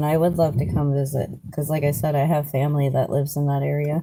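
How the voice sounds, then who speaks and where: A woman's very deep, low, dark and mellow voice, somewhat breathy, at a moderate pace. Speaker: live streamer. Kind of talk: casual chat. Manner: animated.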